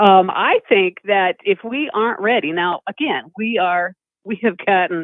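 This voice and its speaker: Using a normal speaking voice, a woman with a medium pitch talks at a moderate pace with lively intonation. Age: 50s. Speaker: caller. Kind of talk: call-in conversation.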